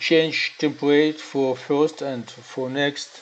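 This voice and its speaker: At a very slow pace, the speaker talks with a non-native accent. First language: not English. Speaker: software developer. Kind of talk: tutorial. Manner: halting, many filler sounds.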